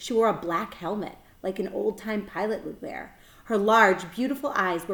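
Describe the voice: Ordinary pitch variation in plain reading aloud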